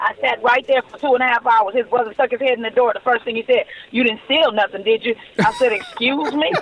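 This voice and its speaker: A woman with an American accent speaks at a very fast pace in a high pitch with fairly even intonation, the sound dry and close with no echo but with noticeable background noise. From Los Angeles, California. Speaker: celebrity hairstylist. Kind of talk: interview. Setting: remote call.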